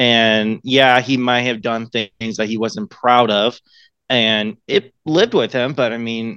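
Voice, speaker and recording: Someone with an American accent speaks at a fairly slow pace in an ordinary speaking voice. The background is quiet. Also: man. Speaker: voice actor. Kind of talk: casual interview.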